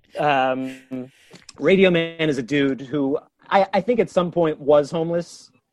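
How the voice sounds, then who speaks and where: Music plays behind a man who speaks at a fairly slow pace, his fairly high voice showing ordinary pitch variation. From New York, Westchester County. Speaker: comedian. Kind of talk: casual chat. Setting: remote call from his bedroom.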